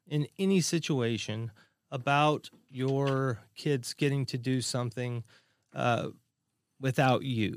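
A man of medium pitch at a very slow pace with ordinary pitch variation, on a very clean, silent-background recording that is dry and close with no echo. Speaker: podcast host. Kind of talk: casual chat.

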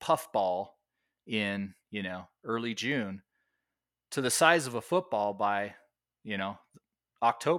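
Bright and sharp in tone, a man speaks at a fairly slow pace with ordinary pitch variation, in a very clean recording with a silent background. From US West, Nevada (Las Vegas). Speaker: wildlife biologist and conservation specialist. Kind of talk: interview. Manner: casual, with frequent fillers.

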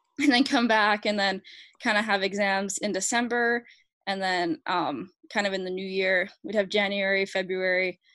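A woman talks at a moderate pace in a medium pitch with ordinary pitch variation and a slight Canadian accent. The background is quiet. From Alberta, Canada. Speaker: pro hockey goalie. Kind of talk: casual interview.

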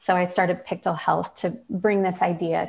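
A woman with a Midwestern US accent speaks at a moderate pace in a medium pitch, somewhat breathy, with fairly even intonation. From Michigan. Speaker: design consultant and founder, autoimmune patient. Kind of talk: casual interview chat.

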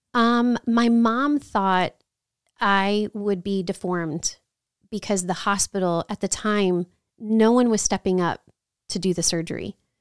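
A woman with a plain, everyday voice speaks at medium pitch with an American accent, ordinary pitch variation and a fairly slow pace. The recording is very clean and silent behind her, dry and close with no echo. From New Orleans, later Chicago and San Antonio. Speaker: author and magazine business owner. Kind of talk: podcast interview.

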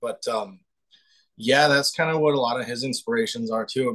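A man talking at a fairly quick pace with lively intonation. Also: dry, close sound with no echo. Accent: slight North Dakota. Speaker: band guitarist. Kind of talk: casual interview. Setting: video call from parents' home.

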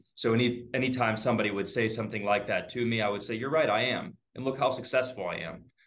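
In an American accent, a man talks at a very fast pace with hardly any pauses, medium pitch and fairly even intonation, with audible room echo. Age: 20s. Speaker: real estate agent. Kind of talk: casual interview. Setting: video call.

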